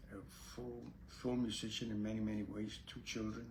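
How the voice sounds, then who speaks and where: Amid audible room echo, a man speaks at a moderate pace in a monotone, flat intonation with a dark, mellow, somewhat breathy tone. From Puerto Rico, then New York City from age 8. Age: 80s+. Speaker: Zen Buddhist priest and teacher. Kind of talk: casual spiritual talk to camera. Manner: halting, with many fillers.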